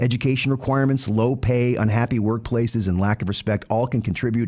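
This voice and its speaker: A man speaks at a very fast pace. He has an American accent. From US South. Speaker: professor and podcast host. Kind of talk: scripted narration. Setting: radio studio.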